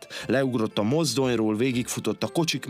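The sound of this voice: The recording features an unforced reading voice whose pitch varies in an ordinary way.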